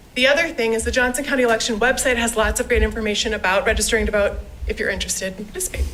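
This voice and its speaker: Someone talks at a very fast pace with ordinary pitch variation over noticeable background noise. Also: woman, fairly high pitch for a woman. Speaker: school district communications staff. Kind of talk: presentation at board meeting. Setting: school board meeting.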